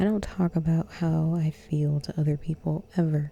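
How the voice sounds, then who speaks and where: Whispering at a fairly slow pace. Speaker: vlogger. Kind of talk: personal confessional vlog. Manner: halting.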